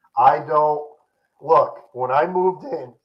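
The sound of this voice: A man uses a put-on character voice, hoarse and fairly high. He speaks at a fairly slow pace.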